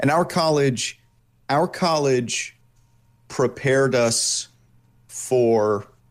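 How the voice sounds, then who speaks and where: The speaker uses lively intonation and has an American accent. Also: man. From New York State, US. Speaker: voice actor and illustrator. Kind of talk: interview. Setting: studio.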